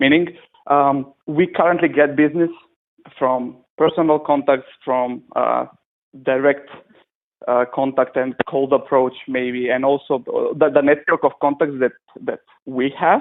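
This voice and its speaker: A man with a non-native accent talks at a fairly slow pace and fairly high pitch, with fairly even intonation and long, frequent pauses. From Macedonia. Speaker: web and app developer. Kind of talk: casual chat. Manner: halting. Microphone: lag on the line.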